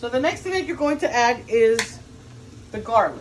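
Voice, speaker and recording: A woman with a Cuban accent speaks at a high pitch and a moderate pace, her intonation lively. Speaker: cooking video host. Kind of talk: cooking tutorial. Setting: home kitchen. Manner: casual, chatty.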